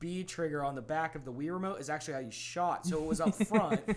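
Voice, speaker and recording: This man has an ordinary speaking voice, pitched fairly high, with lively intonation. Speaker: podcast co-host. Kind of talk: casual chat.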